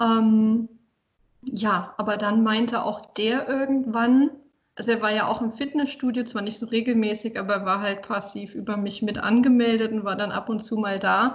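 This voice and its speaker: At a moderate pace, a woman speaks in a plain, everyday voice, fairly high in pitch with fairly even intonation. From Saarland, Germany. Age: 20s. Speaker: fitness trainer and communication researcher. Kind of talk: casual interview.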